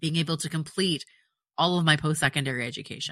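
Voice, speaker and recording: At a fairly quick pace, a woman speaks with a very deep, low pitch and ordinary pitch variation. Her tone is bright and sharp, on a very clean recording with a silent background. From partly South America. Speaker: therapist and podcast host. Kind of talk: solo podcast monologue. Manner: conversational, with fillers.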